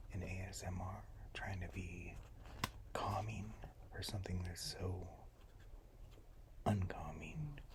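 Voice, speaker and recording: Whispering at a very slow pace, the speaker leaves long, frequent pauses over noticeable background noise. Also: man. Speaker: ASMR content creator. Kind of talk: ASMR whispered reading of letters. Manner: whispered, calming.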